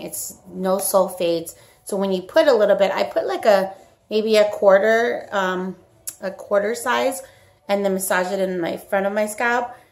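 There is faint music in the background. A woman talks at a moderate pace. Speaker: beauty product demonstrator. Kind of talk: casual product demo vlog. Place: home room. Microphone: phone near.

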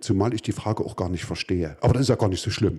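Against a quiet background, a man speaks in a dark, mellow tone at a fairly low pitch, with ordinary pitch variation. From East Germany. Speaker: artist and musician; talk show guest. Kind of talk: interview. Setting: basement venue. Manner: halting. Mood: dry, ironic, calm. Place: stage. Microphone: handheld.

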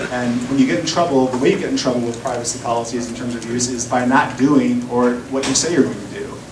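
This man talks very fast with hardly any pauses at a medium pitch, over noticeable background noise. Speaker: lawyer at a law firm. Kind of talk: keynote talk. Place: hall.

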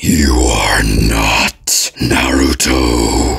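Growling and monotone, a put-on character voice keeps its intonation flat. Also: man, very deep, low pitch for a man.

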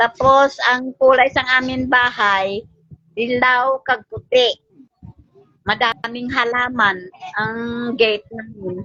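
A woman speaks at a very slow pace with long, frequent pauses. Her pitch is high and her intonation fairly even. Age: 60s. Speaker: mother appealing for help. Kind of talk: tearful appeal.

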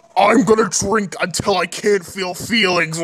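A man puts on a character voice at a high pitch. He speaks at a moderate pace. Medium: fan dub.

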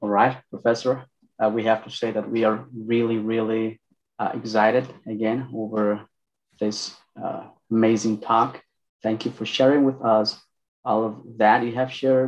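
A man talks at a moderate pace in a flat, monotone delivery. His speech is broken by long, frequent pauses. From Mexico. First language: Spanish. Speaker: PhD student moderating a lecture; event host, moderator. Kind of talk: event moderation and Q&A. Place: office. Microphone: video call.

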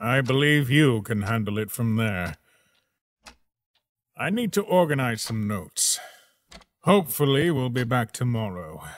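A man puts on a cartoonish character voice at medium pitch, speaking at a moderate pace with long, frequent pauses. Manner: commanding, brusque.

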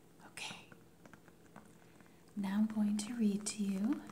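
Over light background noise, a woman speaks in a calm, soothing tone. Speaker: ASMR creator, life coach. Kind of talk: ASMR intro talk to camera. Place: home room.

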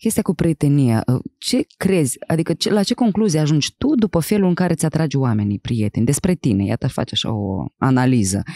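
Against a quiet background with dry sound and no echo, a woman talks at a fairly quick pace in a very deep, low pitch with a dark, mellow tone, very even loudness and very wide pitch swings. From Moldova, Chișinău; Moldova. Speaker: podcast host and actress; podcast host. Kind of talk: casual interview. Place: studio. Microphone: studio mic.

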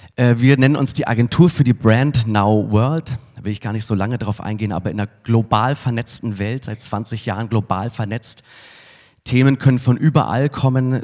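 A man talks with fairly even intonation and a moderate pace, the background quiet. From Munich, Bavaria (southern Germany). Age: 40s. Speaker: advertising agency executive, keynote speaker; keynote speaker. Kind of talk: conference keynote. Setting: stage with audience. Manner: casual with frequent filler sounds. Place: hall. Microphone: handheld.

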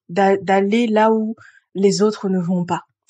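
Against a quiet background, a woman with a medium pitch speaks at a very slow pace. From grew up outside France. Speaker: astrologer. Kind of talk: solo video explainer. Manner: hesitant with frequent fillers.

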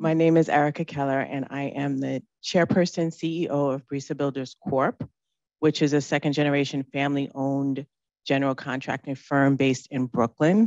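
A woman speaks at a moderate pace with an extremely low pitch. The sound is dry and close with no echo, her tone slightly mellow and her intonation fairly even.

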